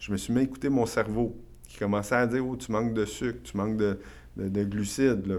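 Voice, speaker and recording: A man with a Quebec accent talks at a fairly quick pace in a monotone, flat intonation. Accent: Québécois French. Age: 40s. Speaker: real estate investor and entrepreneur. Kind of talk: casual interview. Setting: studio.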